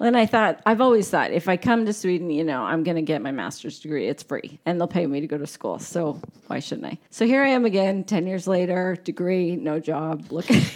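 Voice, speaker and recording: With an American accent and a plain, everyday voice, a woman talks at fairly low pitch and a fairly quick pace, with lively intonation and hardly any pauses. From Arizona, US. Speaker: former hairstylist. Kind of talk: casual chat.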